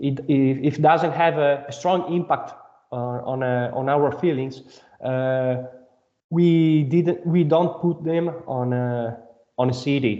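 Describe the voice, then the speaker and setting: With a non-native accent, a man speaks at a very slow pace in a fairly high voice. His intonation is fairly even, and there is audible room echo. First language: not English. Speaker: band member, singer/songwriter. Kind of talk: interview. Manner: halting.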